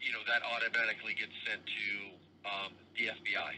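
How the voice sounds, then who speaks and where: Moderately paced male speech, some faint noise in the background. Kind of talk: phone call explanation.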